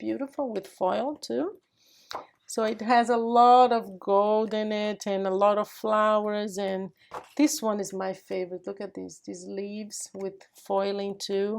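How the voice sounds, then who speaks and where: On a very clean recording with a silent background, a woman speaks at a fairly slow pace with fairly even intonation. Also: medium pitch for a woman. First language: Portuguese. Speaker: craft youtuber. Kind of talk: tutorial. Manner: casual, chatty.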